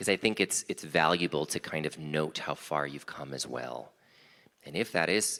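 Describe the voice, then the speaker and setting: His very deep, low-pitched voice carries vocal fry and a bright, sharp tone. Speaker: small group leader. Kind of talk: guided meditation intro in worship service. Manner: fast.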